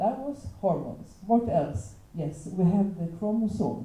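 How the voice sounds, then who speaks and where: Audible room echo surrounds a woman's dark, mellow voice, which carries vocal fry. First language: not English. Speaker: teacher. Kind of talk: panel talk. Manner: halting.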